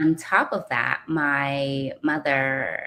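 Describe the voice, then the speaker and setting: Her pitch very deep and low, a woman speaks with monotone, flat intonation. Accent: Californian. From California. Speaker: caregiver and community co-founder. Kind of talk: interview testimony. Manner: fluent.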